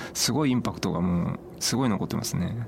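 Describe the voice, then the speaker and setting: The speech runs at a fairly quick pace with ordinary pitch variation over noticeable background noise. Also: man. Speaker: travel bookshop owner. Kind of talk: radio interview. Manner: hesitant, many fillers.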